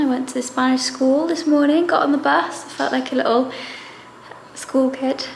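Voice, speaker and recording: In a Welsh accent, a woman speaks at a high pitch with fairly even intonation. Audible room echo and noticeable background noise surround her voice. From Wales. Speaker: travel vlogger. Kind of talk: casual vlog talk to camera. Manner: soft-spoken.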